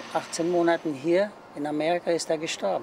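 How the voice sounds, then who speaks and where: Amid noticeable background noise, a man with a fairly high pitch talks at a moderate pace. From Germany. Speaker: retired factory worker. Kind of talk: interview. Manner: halting. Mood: calm, reflective. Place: garden.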